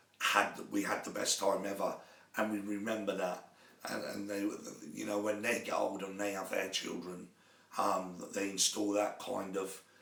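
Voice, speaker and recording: A man's fairly low voice at a moderate pace with fairly even intonation, amid noticeable background noise and audible room echo. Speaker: sports coach. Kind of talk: live talk show monologue. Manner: halting, many fillers.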